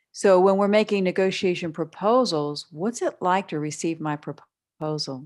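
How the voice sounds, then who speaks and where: A woman talks with hardly any pauses in a normal speaking voice. Her medium pitch shows ordinary pitch variation. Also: moderate pace. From western Pennsylvania. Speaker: business broker and negotiation trainer. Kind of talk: interview. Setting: remote call.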